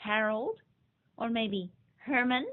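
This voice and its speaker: Putting on a character voice, a woman speaks at a fairly high pitch with fairly even intonation. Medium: read story.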